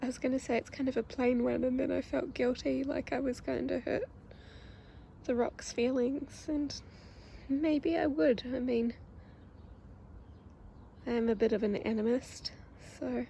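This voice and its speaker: Soft-spoken, with a New Zealand accent and a dark, mellow tone, the speaker talks at a fairly slow pace with ordinary pitch variation and long, frequent pauses. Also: woman, high pitch for a woman. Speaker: ASMR creator. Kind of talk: ASMR casual talk.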